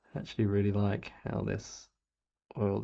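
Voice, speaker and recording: Speaking at a fairly slow pace, a man has a fairly low pitch and a relaxed, dark, mellow tone. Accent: Australian. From England. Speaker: miniature painter streamer. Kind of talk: casual live-stream chat while painting. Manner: relaxed, with many fillers and repetitions; rising intonation at sentence ends.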